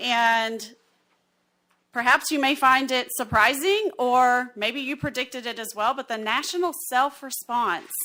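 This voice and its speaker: With an Alabama accent, a woman speaks in a high, bright, sharp tone with lively intonation. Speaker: census partnership specialist. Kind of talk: presentation at county meeting.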